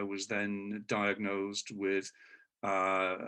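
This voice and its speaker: A man with a British accent speaks very slowly at a fairly low pitch. The background is quiet. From United Kingdom. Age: 60s. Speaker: patient. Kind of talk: interview. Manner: halting, many fillers.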